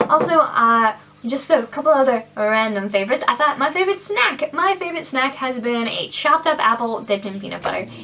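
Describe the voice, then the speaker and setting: A woman with a raised, projected voice talks at a high pitch and a fairly quick pace, with lively intonation and hardly any pauses, over noticeable background noise. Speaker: beauty vlogger. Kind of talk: casual product review vlog. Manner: fast; animated.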